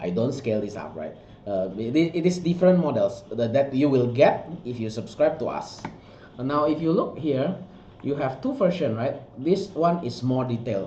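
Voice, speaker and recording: Fairly high male voice at a moderate pace with lively intonation, plus noticeable background noise and audible room echo. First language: not English. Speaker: miniature sculptor and art director. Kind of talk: product walkthrough. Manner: halting, many fillers and restarts.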